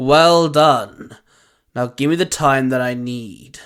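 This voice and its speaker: A man growls through a put-on character voice at a medium pitch. He speaks at a fairly slow pace on a very clean recording with a silent background. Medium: audio drama. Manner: sneering, growling.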